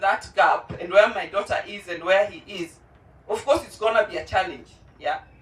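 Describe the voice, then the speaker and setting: With noticeable background noise behind her, a woman speaks at a fairly quick pace at a medium pitch. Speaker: parent speaking at a launch event. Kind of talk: testimony.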